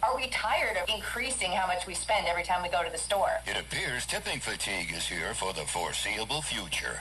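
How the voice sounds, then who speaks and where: A woman talks fairly quickly with hardly any pauses, and noticeable background noise runs underneath. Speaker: radio news anchor. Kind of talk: radio newscast read.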